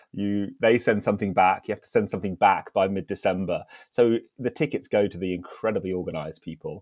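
A man with a southern English accent, fairly low pitch and ordinary pitch variation at a very fast pace, in a very clean recording with a silent background and a dry, close sound with no echo. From southern England, Isle of Wight. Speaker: hospitality startup founder. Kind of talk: casual interview.

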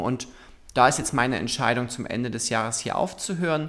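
A man talks with a plain, everyday voice. His pitch varies in an ordinary way, and he moves at a fairly quick pace. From Saxony, Germany (Zwickau). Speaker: LGBT association director and activist. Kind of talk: interview.

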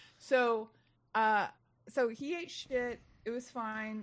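This is a woman with a normal speaking voice, pitched fairly high. Her intonation is fairly even and her pace fairly slow. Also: very clean recording, silent background. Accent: American. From Texas. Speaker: comedian. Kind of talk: casual chat.

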